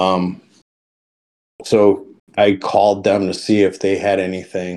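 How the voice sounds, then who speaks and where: A man with an American accent speaks at a fairly low pitch with a dark, mellow tone. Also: very clean recording, silent background. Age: 50s. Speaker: off-road enthusiast. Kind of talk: casual chat.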